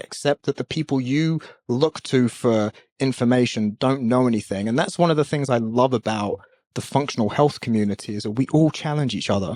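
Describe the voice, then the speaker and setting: A man's medium-pitched, passionate voice at a moderate pace, with ordinary pitch variation and a dry, close sound with no echo. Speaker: podcast host, functional health practitioner. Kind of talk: solo podcast monologue.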